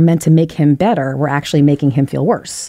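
A woman with a Philadelphia accent and a dark, mellow tone, the sound dry and close with no echo. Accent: Philadelphia American. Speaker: storyteller. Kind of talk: personal storytelling.

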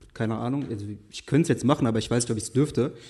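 A man's medium-pitched voice races along at a very fast pace, with ordinary pitch variation. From western Germany, Essen. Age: 20s. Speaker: fashion blogger. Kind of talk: casual chat. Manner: halting.

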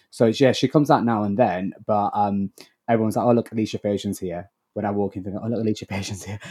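A man's fairly low, dark, mellow voice in a Lancashire accent, very fast with fairly even intonation, on a very clean recording with a silent background. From northern England, Blackburn. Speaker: actor. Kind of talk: interview. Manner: halting.

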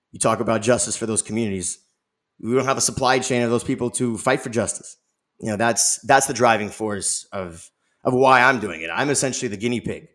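A man with an American accent talks at a fairly quick pace and a medium pitch. He has a plain, everyday voice with ordinary pitch variation. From Los Angeles, US. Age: 30s. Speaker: nonprofit founder. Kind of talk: interview.

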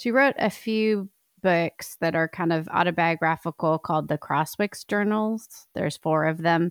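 A woman's fairly low voice at a fairly slow pace with ordinary pitch variation, in a very clean recording with a silent background and a dry, close sound with no echo. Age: 40s. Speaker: writer and podcast co-host. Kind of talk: casual chat.

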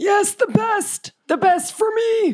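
Squeaky and extremely high, this is a put-on character voice. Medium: actual play. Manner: halting, forgetful, doddering.

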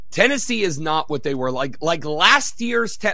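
Noticeable noise sits behind a man as he talks. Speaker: sports betting analyst. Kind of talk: casual chat. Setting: video call.

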